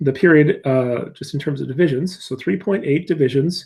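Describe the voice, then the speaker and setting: A man speaks with a somewhat breathy, dark and mellow tone, fairly high in pitch with ordinary pitch variation. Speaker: physics teacher. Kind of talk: tutorial. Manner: halting.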